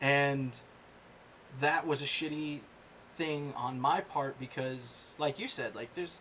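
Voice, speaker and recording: Amid noticeable background noise, a man speaks very slowly at a fairly high pitch, with fairly even intonation and long, frequent pauses. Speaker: podcast host. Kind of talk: casual chat. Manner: loud.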